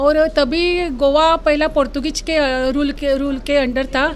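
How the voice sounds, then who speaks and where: A woman's high voice with fairly even intonation over noticeable background noise. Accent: Konkani. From Goa, India. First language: Konkani (speaking Hindi). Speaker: writer, award winner. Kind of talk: interview.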